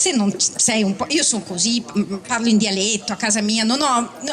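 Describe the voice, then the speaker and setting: Noticeable background noise runs under the speech. The intonation is lively. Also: woman. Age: 50s. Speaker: novelist. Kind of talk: public book talk. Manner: conversational, self-deprecating.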